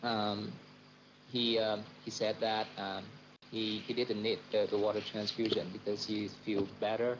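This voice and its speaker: In a Vietnamese accent, a man with a fairly low pitch speaks at a fairly slow pace in a monotone, flat intonation. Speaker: doctor. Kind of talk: casual chat. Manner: halting, many fillers.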